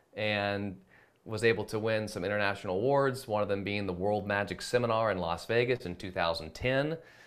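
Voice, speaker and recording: Fairly quick and fairly low, a man talks in an ordinary speaking voice. His pitch varies in an ordinary way. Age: 30s. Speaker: magician. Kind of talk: casual chat.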